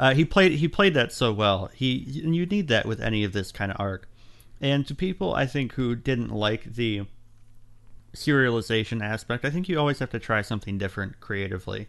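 Speaking fairly quickly in a plain, everyday voice, a man uses lively intonation at a medium pitch against a quiet background. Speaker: fan film producer. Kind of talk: casual panel discussion.

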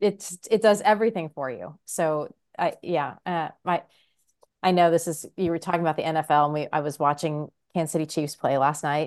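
Over a quiet background, a woman speaks at a moderate pace in an ordinary speaking voice, with a fairly low pitch and ordinary pitch variation. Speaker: podcast co-host. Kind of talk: casual chat.

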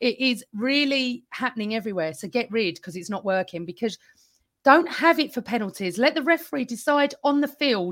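Speaking with an English accent, a woman uses a fairly high pitch with very wide pitch swings at a fairly quick pace. The recording is very clean, with a silent background. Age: 50s. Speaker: football podcaster. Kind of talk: casual chat.

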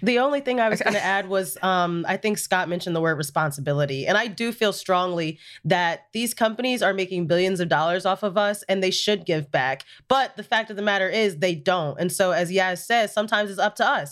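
With a normal speaking voice, a woman talks at a fairly quick pace with hardly any pauses, her pitch medium and ordinary in variation, in a very clean recording with a silent background. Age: 20s. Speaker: social media producer. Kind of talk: casual chat.

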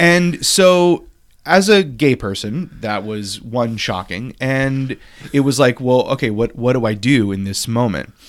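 Lively intonation and a fairly slow pace mark a plain, everyday voice. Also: man, medium pitch for a man. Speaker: podcast host. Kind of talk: casual chat.

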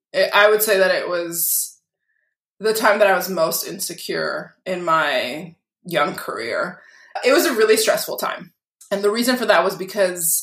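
In an American accent, a woman speaks at a moderate pace and medium pitch with ordinary pitch variation, and audible room echo surrounds her. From Massachusetts, Lynn (north of Boston). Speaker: lawyer. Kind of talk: casual interview.

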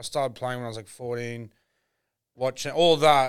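The recording is very clean, with a silent background. An Australian accent comes at a fairly quick pace, with fairly even intonation. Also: man. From Brisbane, Australia. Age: 30s. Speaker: comedian. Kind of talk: casual chat.

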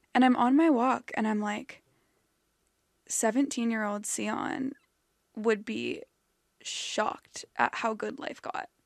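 A woman with an American accent talks at a fairly slow pace over a quiet background. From US West Coast, Los Angeles. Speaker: podcast host. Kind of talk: casual chat. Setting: studio.

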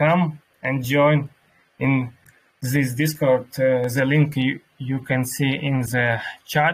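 A man's somewhat breathy voice at a medium pitch, very slow and monotone with flat intonation. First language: Russian. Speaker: crypto community workshop host and interpreter. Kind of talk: live online workshop moderation and interpreting. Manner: halting with many fillers in English.

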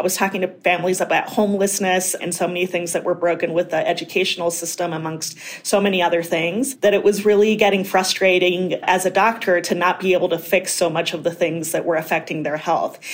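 A woman at a medium pitch talks at a very fast pace with hardly any pauses, her intonation monotone and flat. Noticeable background noise sits behind her. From Colorado, Mexican immigrant family. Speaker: physician and state legislator running for Congress. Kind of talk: interview.

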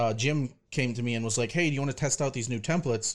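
Over a very clean recording with a silent background, a man speaks at a fairly quick pace with ordinary pitch variation in a plain, everyday voice. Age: 20s. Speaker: fingerboard deck maker. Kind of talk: casual interview chat.

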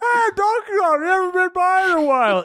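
In a put-on character voice, the speaker talks at a fairly quick pace with extremely high pitch. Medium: actual play. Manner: laid-back, rambling.

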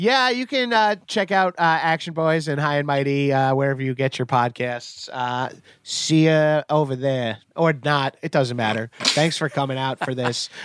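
An ordinary speaking voice with ordinary pitch variation moves at a moderate pace with hardly any pauses, in a dry, close sound with no echo on a very clean recording with a silent background. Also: man, fairly high pitch for a man. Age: 40s. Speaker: comedian and podcaster. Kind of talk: casual chat. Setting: live stream.

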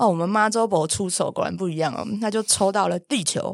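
In an unremarkable speaking voice, a woman of medium pitch talks at a moderate pace with ordinary pitch variation, in a very clean recording with a silent background and a dry, close sound with no echo. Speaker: animal communicator and podcast host. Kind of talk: casual chat.

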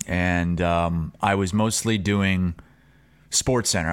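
A man is speaking here. His pitch is very deep and low. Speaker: sports media host. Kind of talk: casual chat. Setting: remote, separate from studio. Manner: animated.

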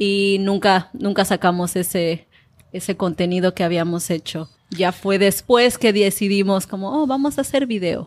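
An unremarkable speaking voice from a woman, medium in pitch with ordinary pitch variation, at a fairly slow pace on a very clean recording with a silent background. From Mexico, Colima (Manzanillo). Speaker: YouTube creator and Spanish teacher. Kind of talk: interview.

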